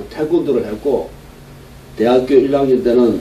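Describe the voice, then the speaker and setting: The speaker keeps a moderate pace and ordinary pitch variation, with audible room echo and noticeable background noise in the recording. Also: man. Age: 60s. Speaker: pastor. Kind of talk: sermon.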